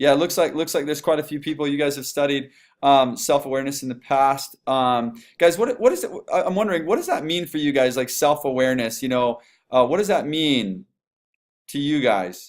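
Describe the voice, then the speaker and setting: His pitch sits fairly high for a man and varies in an ordinary way. He speaks at a fairly quick clip. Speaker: business coach. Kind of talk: webinar training. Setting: online webinar. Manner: fast; animated.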